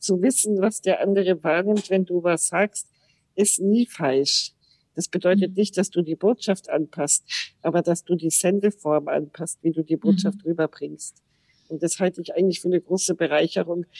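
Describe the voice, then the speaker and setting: Dry, close sound with no echo carries a woman's fairly low voice. She speaks at a moderate pace with fairly even intonation. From Austria (Salzburg), German parents. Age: 50s. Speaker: podcast guest, wheelchair user. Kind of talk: casual interview.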